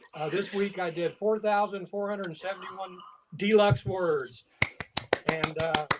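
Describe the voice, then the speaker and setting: An American-accented man's high voice, fairly slow, with ordinary pitch variation. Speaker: writing group member. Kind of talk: casual chat.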